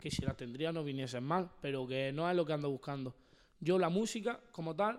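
Using a plain, everyday voice, a man talks at a fairly quick pace with a fairly high pitch and ordinary pitch variation. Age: 20s. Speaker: freestyle rapper. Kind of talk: casual chat.

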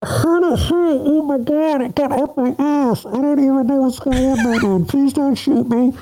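A put-on character voice pitched high and delivered at a moderate pace. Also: hardly any pauses. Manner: panicked, comic.

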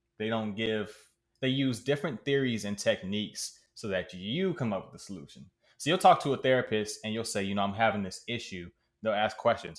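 Here is a man with an American accent and a plain, everyday voice at medium pitch. He talks at a moderate pace with lively intonation in a very clean recording with a silent background. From Maryland (Prince George's County), US. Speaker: podcast co-host. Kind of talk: casual chat.

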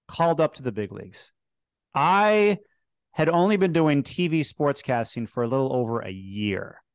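In an American accent, this speaker moves at a moderate pace with very wide pitch swings, on a very clean recording with a silent background. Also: man, fairly high pitch for a man. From Chicago. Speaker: sports TV host. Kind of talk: interview.

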